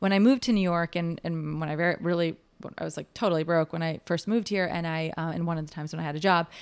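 On a very clean recording with a silent background, a woman with an American accent speaks very fast in a fairly low voice, with hardly any pauses and fairly even intonation. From Chicago, US Midwest. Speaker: vintage store owner and event organizer. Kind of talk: casual interview.

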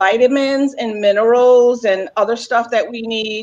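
A woman speaks with ordinary pitch variation. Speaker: health coach. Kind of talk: casual chat. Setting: video call.

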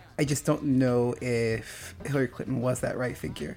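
Music plays in the background. A man speaks at a moderate pace with a medium pitch. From small town. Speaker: guest discussing feminism. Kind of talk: casual chat. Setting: radio studio.

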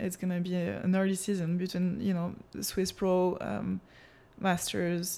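A woman's dark, mellow voice with a French accent, fairly low in pitch, at a moderate pace. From France. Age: 20s. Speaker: professional water skier. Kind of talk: interview.

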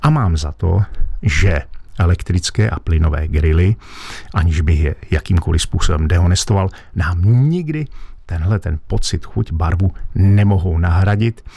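The speaker keeps a moderate pace with ordinary pitch variation against noticeable background noise. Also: man, very deep, low pitch for a man. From Lachia / Wallachia region, Moravia, Czechia. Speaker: master butcher. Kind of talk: radio advice show interview. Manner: formal.

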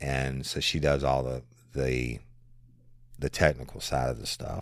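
At a moderate pace, a man with a very deep, low pitch speaks in a South Louisiana accent. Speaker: podcast host, former police officer. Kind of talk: casual Q&A monologue.

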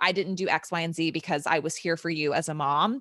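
In a very clean recording with a silent background, a woman speaks with a fairly low pitch and a bright, sharp tone. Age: 30s. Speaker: podcast co-host. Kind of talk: casual chat.

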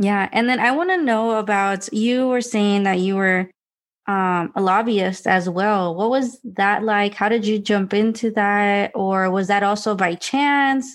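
On a very clean recording with a silent background, a woman speaks at a fairly slow pace in medium pitch, with ordinary pitch variation and very even loudness. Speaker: podcast host and coach. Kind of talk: casual interview. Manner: animated, enthusiastic.

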